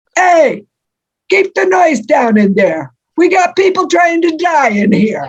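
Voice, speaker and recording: A put-on character voice in a New Jersey accent shouts at a high pitch with very wide pitch swings. The pace is fairly slow and the loudness very even. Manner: yelling, joking.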